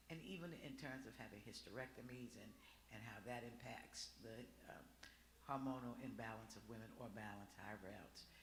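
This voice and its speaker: Talking at a fairly quick pace and medium pitch, a man shows vocal fry and ordinary pitch variation, with audible room echo around him. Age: 60s. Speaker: audience member. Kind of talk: audience remarks.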